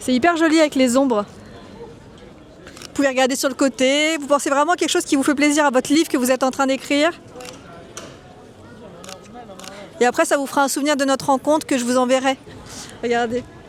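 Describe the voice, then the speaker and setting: A high-pitched woman speaks at a fairly quick pace with ordinary pitch variation, yet leaves long, frequent pauses. Noticeable background noise runs underneath. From France (Normandy, Toulouse, Bordeaux). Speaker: photographer, vlogger. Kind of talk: street interview vlog. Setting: outdoors on a street.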